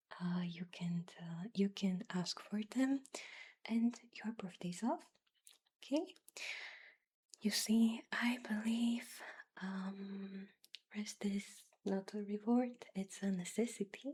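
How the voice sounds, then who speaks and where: Soft-spoken and somewhat breathy, a woman talks in a gentle tone at a medium pitch with ordinary pitch variation. Her pace is very slow, with long, frequent pauses. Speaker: ASMR creator. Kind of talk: ASMR roleplay, job interviewer. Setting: close-mic studio recording. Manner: soft-spoken, gentle, reassuring.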